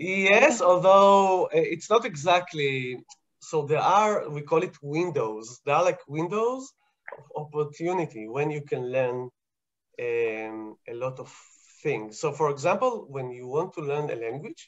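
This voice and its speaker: This voice, in an Israeli accent, moves at a fairly slow pace. Its pitch swings very widely and its loudness rises and falls a great deal. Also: man, fairly high pitch for a man. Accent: Hebrew. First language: Hebrew. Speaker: scientist answering kids' questions. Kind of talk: casual explanatory chat with kids. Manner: halting, many fillers.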